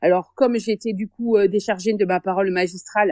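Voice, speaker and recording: A woman with a strong southern French accent speaks at a moderate pace and a fairly high pitch with ordinary pitch variation, in a dry, close sound with no echo and a quiet background. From southern France, Béziers. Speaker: secondary school French teacher. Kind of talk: interview. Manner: hesitant, many fillers.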